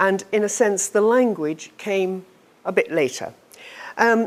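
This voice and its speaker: A woman talks in a British accent at a medium pitch. The recording is very clean, with a silent background. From United Kingdom. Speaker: teacher trainer. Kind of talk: lecture. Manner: slow.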